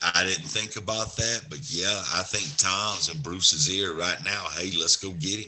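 With a Southern US accent, the speaker uses lively intonation at a fairly slow pace. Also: man, fairly low pitch for a man, hardly any pauses. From Alabama. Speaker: sports podcast co-host. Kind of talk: casual sports chat.

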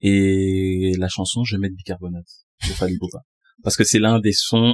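A man talks in a fairly low pitch with fairly even intonation. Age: 20s. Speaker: music artist manager. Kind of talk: casual chat. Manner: articulate, polished speech.

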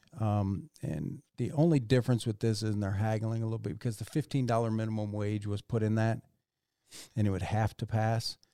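In a very clean recording with a silent background and a dry, close sound with no echo, a man speaks at a fairly quick pace in a fairly low pitch with a dark, mellow tone and fairly even intonation. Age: 50s. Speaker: podcast co-host. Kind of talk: casual chat.

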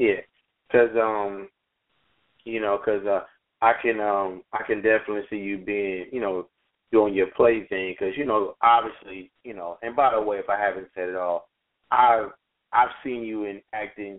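A man speaks at a moderate pace with a fairly low pitch and fairly even intonation. He leaves long, frequent pauses. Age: 30s. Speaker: podcast host. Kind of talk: interview.

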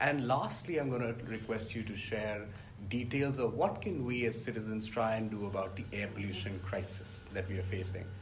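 A man talks at a moderate pace, his pitch varying in an ordinary way, with noticeable background noise around him. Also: fairly low pitch for a man. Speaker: podcast host. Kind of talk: interview conversation.

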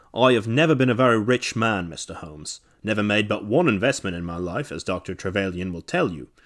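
A man does a put-on character voice that is shaky and fairly low in pitch. He talks at a fairly quick pace. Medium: read story. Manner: nervous.

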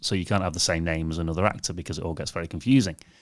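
A man with a Cheshire accent and fairly even intonation. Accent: northern English, Cheshire. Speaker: podcast host. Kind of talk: casual chat. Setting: video call.

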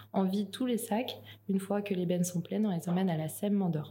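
A woman speaks fairly quickly at medium pitch, somewhat breathy. Her tone is dark and mellow, with ordinary pitch variation. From New Caledonia. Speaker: project manager at a recycling network. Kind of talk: interview.

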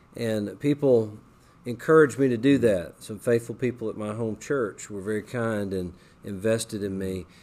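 This man has a normal speaking voice at a medium pitch. He keeps a moderate pace with ordinary pitch variation. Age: 40s. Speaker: Bible college administrator. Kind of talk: interview testimony.

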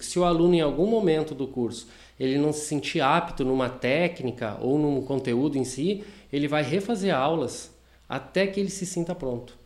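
The man speaks with lively intonation. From southern Brazil, Rio Grande do Sul (Taquari). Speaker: franchise owner of a vocational school. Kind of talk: casual interview chat. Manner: hesitant, many fillers.

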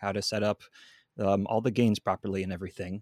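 A man's fairly low voice with a Pacific Northwest accent at a very fast pace, in a very clean recording with a silent background. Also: dry, close sound with no echo. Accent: Pacific Northwest American. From Seattle, Washington. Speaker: videographer and audio engineer. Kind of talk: podcast interview. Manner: animated.

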